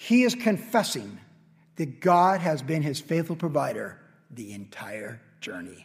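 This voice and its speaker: The voice moves through very wide pitch swings at a fairly slow pace. Vocal fry is present. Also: man, fairly high pitch for a man. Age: 50s. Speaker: pastor. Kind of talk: sermon. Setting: church.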